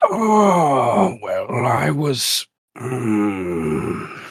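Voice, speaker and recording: A put-on character voice from a man, raspy and at medium pitch. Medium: actual play. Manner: blunt, sly.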